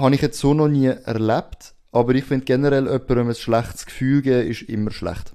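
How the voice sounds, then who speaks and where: With a Swiss accent, a man speaks at a fairly quick pace with hardly any pauses, using a dark, mellow tone, medium pitch and fairly even intonation. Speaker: podcast host. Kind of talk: casual chat.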